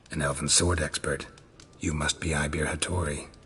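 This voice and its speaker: A man does a cartoonish character voice with a very deep, low pitch and a raspy sound. His delivery is monotone and flat at a moderate pace. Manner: terse, dry, laconic.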